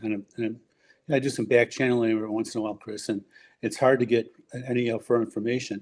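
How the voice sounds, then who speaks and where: The speaker has a Chicago accent and a dark, mellow tone. Speech comes at a very fast pace against a quiet background. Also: man. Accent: Chicago-area American. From US Midwest, Forest Park, Illinois. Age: 70s. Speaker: urban-planning scholar and former school board member. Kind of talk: podcast interview. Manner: halting, with frequent fillers and restarts.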